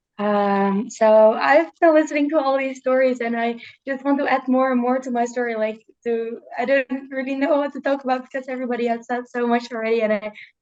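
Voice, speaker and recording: With fairly even intonation, a woman speaks at a high pitch and a fairly quick pace. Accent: Dutch. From Netherlands. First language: Dutch. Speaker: student, youth journalism alum. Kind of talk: casual talk on a video call. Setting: video call. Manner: halting, many repetitions and fillers.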